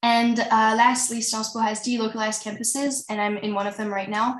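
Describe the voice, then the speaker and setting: A woman talks at a very fast pace and a fairly high pitch, with fairly even intonation. There is noticeable background noise and audible room echo. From France and Belgium. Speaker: university student panelist. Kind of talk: online panel discussion.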